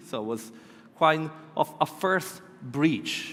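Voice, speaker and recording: A man with a southern Italian accent talks in a fairly high pitch. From southern Italy. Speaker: conference speaker. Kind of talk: keynote presentation. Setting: stage with audience. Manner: halting.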